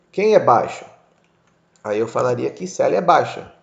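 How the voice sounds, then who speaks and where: A man speaks with audible echo from the room. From United States (moved from Brazil at age 6). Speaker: English teacher. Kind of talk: lecture. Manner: casual, conversational.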